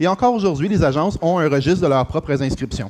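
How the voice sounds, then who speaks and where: The speaker has a Quebec accent. The intonation is lively. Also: man. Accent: Québécois French. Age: 40s. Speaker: real estate franchise executive. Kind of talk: conference talk. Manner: halting with many fillers.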